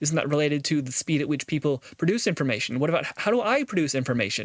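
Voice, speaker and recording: A man at a fairly high pitch, very fast pace and lively intonation, with a dry, close sound and no echo. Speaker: video blogger. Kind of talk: casual monologue. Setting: talking to camera. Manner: halting, repeats words.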